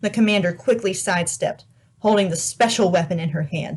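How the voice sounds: The reading voice sounds natural. Its pitch moves up and down in a normal way.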